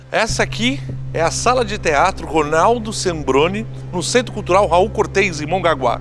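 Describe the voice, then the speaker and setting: Music in the background and audible room echo around a man's voice. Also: moderate pace. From Brazil, São Vicente (São Paulo coast). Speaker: documentary presenter, theatre performer. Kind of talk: documentary presentation. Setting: theatre hall.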